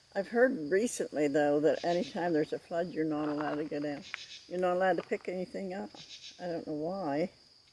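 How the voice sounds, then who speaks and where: A woman with a fairly low pitch talks at a fairly quick pace with lively intonation. Noticeable background noise is present. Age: 80s+. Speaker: grandmother storyteller. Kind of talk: casual reminiscing. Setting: outdoors on a mountain overlook. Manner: halting.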